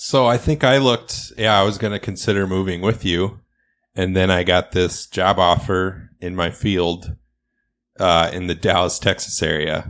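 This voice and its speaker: A man with a very deep, low pitch speaks at a moderate pace and ordinary pitch variation. The background is quiet. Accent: American. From rural Iowa, US Midwest. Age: 30s. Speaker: podcast host, expectant father. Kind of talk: casual chat.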